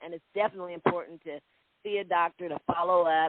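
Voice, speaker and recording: Speaking very fast, a woman keeps her intonation fairly even. Her pitch sits fairly low. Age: 60s. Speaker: CBD business owner. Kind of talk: interview.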